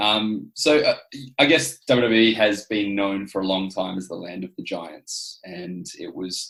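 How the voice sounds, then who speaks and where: A fairly low-pitched man's voice with an Australian accent. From Adelaide, South Australia. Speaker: professional wrestler. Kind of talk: podcast interview.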